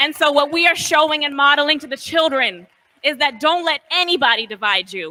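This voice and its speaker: A woman speaks in a raised, projected voice at a high pitch. Her intonation is lively. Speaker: rally organizer. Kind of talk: rally speech. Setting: outdoors.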